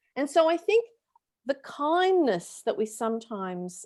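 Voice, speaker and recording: A woman with a high-pitched voice speaks in an Australian accent. She goes at a fairly slow pace, and her pitch swings very widely. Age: 60s. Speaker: panel guest speaker. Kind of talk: webinar panel discussion. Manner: conversational with frequent fillers.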